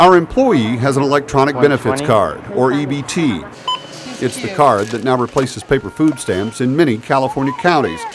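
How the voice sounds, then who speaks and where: Against noticeable background noise, a man with a fairly high pitch speaks at a moderate pace. His pitch variation is ordinary. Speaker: TV news reporter. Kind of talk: TV news report.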